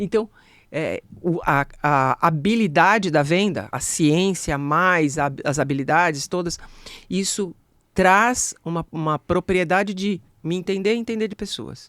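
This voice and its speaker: The delivery is at a fairly slow pace. The recording is very clean, with a silent background. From Brazil, ABC region of São Paulo. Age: 60s. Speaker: sales speaker and expert. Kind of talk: podcast interview.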